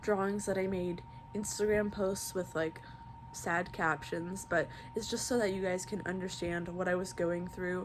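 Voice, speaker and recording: At a medium pitch and moderate pace, a woman talks with fairly even intonation, with noticeable background noise and audible room echo. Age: 20s. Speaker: vlogger telling personal story. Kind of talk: personal testimony monologue. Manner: hesitant, many fillers.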